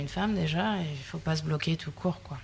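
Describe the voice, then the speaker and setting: A woman talks at a very fast pace. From southern France, Sète. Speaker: fisheries technician. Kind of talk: interview. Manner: hesitant.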